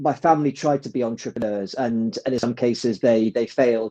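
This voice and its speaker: At a fairly quick pace, a man speaks at medium pitch with a dark, mellow tone and a dry, close sound with no echo. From England. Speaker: adventurer and business consultant. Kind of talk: interview. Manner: repeats words often, halting starts.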